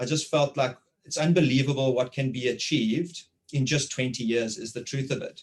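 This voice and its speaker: Somewhat breathy, a man holds fairly even intonation at a moderate pace. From South Africa, Port Elizabeth. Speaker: interviewer. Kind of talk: casual conversation.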